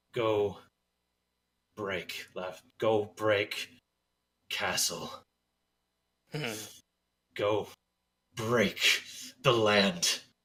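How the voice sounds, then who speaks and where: A man puts on a raspy character voice with a fairly low pitch and ordinary pitch variation. He talks at a very slow pace with long, frequent pauses. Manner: through gritted teeth.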